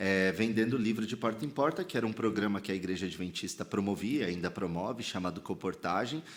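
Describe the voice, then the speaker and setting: In a São Paulo accent, a man with a fairly low pitch speaks fairly quickly with ordinary pitch variation on a very clean recording with a silent background. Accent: Paulistano. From São Paulo, Brazil (Sacomã, south zone). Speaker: pastor and theologian. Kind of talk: podcast interview. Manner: casual slangy.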